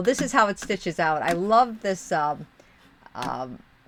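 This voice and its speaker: Animated in tone, a woman with an American accent speaks at a medium pitch with very wide pitch swings and vocal fry. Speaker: streamer. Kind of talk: casual live stream chat.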